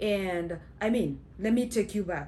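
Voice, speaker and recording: A woman speaks with a Kenyan accent. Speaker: vlogger. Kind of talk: casual storytelling. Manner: halting, many fillers.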